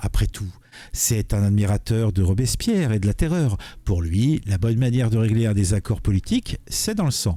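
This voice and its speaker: A man's dark, mellow, somewhat breathy voice, fairly low in pitch, with ordinary pitch variation at a moderate pace, in a very clean recording over a silent background. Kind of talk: political commentary. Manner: casual, hesitant.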